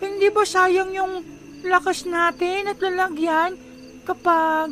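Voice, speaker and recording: A put-on character voice with an extremely high pitch speaks at a very slow pace over clear background noise. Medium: audio drama. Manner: casual, grumbling.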